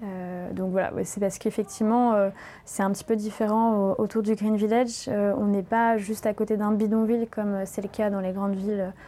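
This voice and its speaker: Recorded very cleanly against a silent background, a woman speaks at a moderate pace in a medium pitch, her tone dark and mellow and her intonation monotone and flat. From Paris, France. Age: 20s. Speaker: volunteer. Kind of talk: interview.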